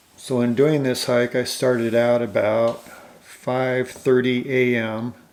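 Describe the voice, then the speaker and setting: A man at medium pitch with monotone, flat intonation. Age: 60s. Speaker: hiking video creator. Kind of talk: narrated hiking tutorial. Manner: relaxed, conversational with fillers.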